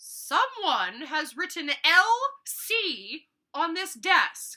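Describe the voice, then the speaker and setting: Putting on a character voice at an extremely high pitch, a woman speaks at a very slow pace with lively intonation. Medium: read story.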